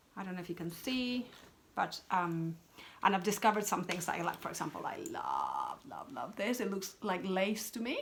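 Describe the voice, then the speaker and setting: In a Spanish accent, a woman talks at a moderate pace and medium pitch with ordinary pitch variation. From Peru. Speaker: craft vlogger. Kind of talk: casual chat. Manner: chatty, with many fillers and restarts.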